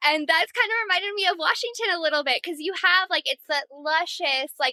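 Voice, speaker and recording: A woman's raised, projected voice with an American accent, a bright, sharp, animated tone, lively intonation and a dry, close sound with no echo. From US Midwest, northern Illinois. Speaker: hiker, podcast guest. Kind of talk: casual interview chat. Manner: animated, lots of fillers.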